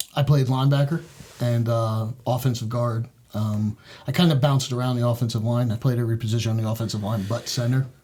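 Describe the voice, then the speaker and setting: At a very fast pace, a man with a slight New York accent talks at a medium pitch with fairly even intonation. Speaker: sheriff's deputy. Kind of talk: podcast interview. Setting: church. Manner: hesitant, many fillers.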